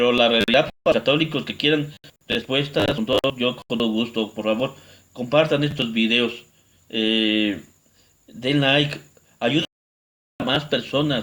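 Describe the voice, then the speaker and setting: Medium-pitched male speech at a fairly slow pace, with ordinary pitch variation and long, frequent pauses. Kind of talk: religious teaching video.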